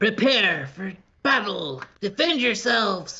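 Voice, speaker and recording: Putting on a character voice, a man speaks high in pitch at a fairly slow pace. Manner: harsh, barking.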